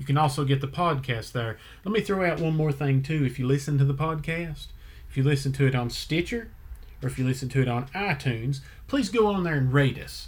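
Speaking with an American accent, a man has a fairly high pitch and a somewhat breathy voice. His pace is fairly quick, with ordinary pitch variation. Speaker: podcast host. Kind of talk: casual chat.

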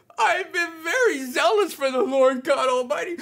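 Put on as a character voice, this high-pitched, whiny delivery keeps a whiny tone at a moderate pace. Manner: complaining, whiny.

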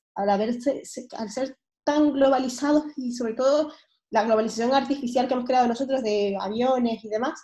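Somewhat breathy and dark, mellow in tone, a woman's fairly high voice moves at a fairly quick pace with ordinary pitch variation. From Venezuela, Caracas. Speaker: pediatric surgeon. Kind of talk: interview.

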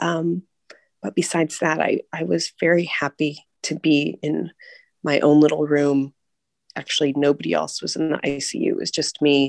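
With an American accent, a woman speaks at a moderate pace in a very clean recording with a silent background and a dry, close sound with no echo. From US, California. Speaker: mother sharing birth story. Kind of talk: personal storytelling interview.

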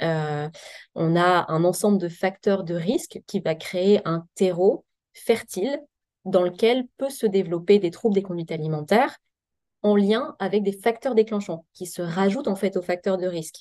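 In a plain, everyday voice, a woman speaks at a medium pitch and a fairly slow pace with ordinary pitch variation. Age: 30s. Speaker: psychiatrist. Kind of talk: podcast interview.

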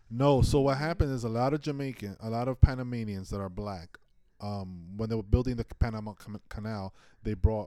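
With an American accent, a man speaks at a fairly quick pace in a dark, mellow tone and fairly low pitch. His loudness swings widely, with ordinary pitch variation. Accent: New York Dominican American. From Washington Heights, New York. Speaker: artist and entrepreneur. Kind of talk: casual interview chat.

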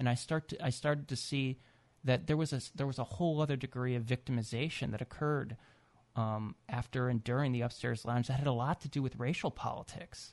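With an American accent and an unremarkable speaking voice, a man at medium pitch talks at a fairly quick pace with fairly even intonation, the sound dry and close with no echo against a quiet background. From US Midwest. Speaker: author. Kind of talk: radio interview. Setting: studio.

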